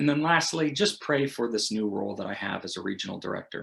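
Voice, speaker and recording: A man's unremarkable speaking voice with an American accent, at a fairly quick pace, with ordinary pitch variation, in a very clean recording over a silent background. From United States. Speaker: missionary. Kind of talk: recorded prayer request message.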